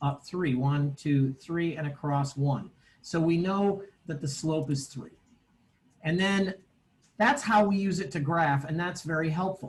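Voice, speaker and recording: Here is a man with a normal speaking voice and a fairly high pitch. He talks at a fairly slow pace with ordinary pitch variation. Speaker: math teacher. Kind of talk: online lecture.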